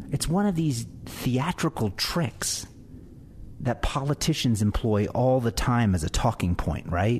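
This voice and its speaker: A somewhat breathy male voice at medium pitch, pitch swinging very widely, loudness very even. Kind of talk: angry rant, indignant talk-radio monologue. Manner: incredulous and sarcastic, with mounting outrage and rapid-fire rhetorical questions.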